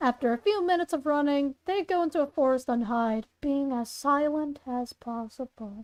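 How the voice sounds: A woman's high pitch with ordinary pitch variation, a slightly mellow tone and a moderate pace.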